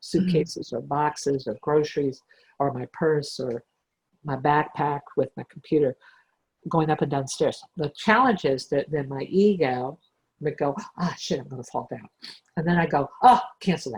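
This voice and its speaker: Very deep and low for a woman, her voice is somewhat breathy, with ordinary pitch variation and big swings in loudness. The sound is dry and close, with no echo. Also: moderate pace. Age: 60s. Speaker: spiritual teacher. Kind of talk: casual chat.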